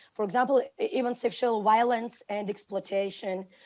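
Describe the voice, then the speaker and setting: Delivered at a moderate pace, the voice has a dark, mellow tone and a Georgian accent. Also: woman. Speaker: teacher. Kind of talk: panel talk. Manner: halting.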